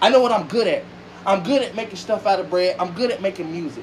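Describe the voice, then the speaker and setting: The voice comes in an animated tone at a very fast pace, over noticeable background noise. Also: man. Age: 20s. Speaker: online radio show host and music artist. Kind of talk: heated family argument on a livestream. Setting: TikTok livestream.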